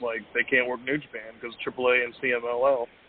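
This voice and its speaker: A man talks in a monotone, flat intonation. His pitch is medium and his pace moderate. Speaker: wrestling fan caller. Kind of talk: casual chat. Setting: phone call.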